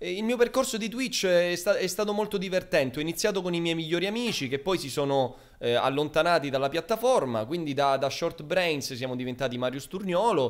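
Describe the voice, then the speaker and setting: Over a quiet background, a man speaks at a high pitch. His pace is fairly quick and his intonation lively. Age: 20s. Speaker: streamer; guest. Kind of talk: casual chat. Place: home room. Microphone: studio mic.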